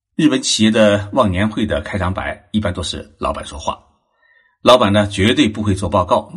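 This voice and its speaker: A man speaks in a normal speaking voice, keeping a moderate pace and ordinary pitch variation. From China, Zhejiang. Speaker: podcast host on Japanese culture. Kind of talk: solo narrated talk.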